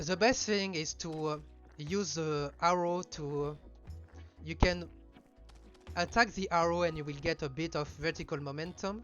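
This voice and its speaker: Over music in the background, a man speaks fairly high for a man with ordinary pitch variation. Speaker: speedrunner. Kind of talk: gameplay commentary. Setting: home mic recording. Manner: casual, hesitant.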